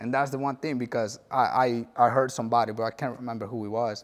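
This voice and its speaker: A man with a Spanish accent and medium pitch speaks at a fairly quick pace with fairly even intonation. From El Salvador. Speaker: former gang member. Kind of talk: testimony.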